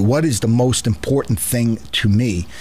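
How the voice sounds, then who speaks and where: A man with an American accent, medium pitch, ordinary pitch variation, a moderate pace, and noticeable background noise. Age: 60s. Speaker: political talk show host and newspaper owner. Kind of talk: radio interview. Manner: halting, repeats words.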